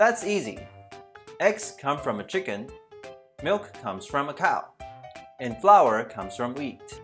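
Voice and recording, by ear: Over faint music, a woman in a put-on character voice speaks at an extremely low pitch and a slow pace, with big pitch swings and long, frequent pauses.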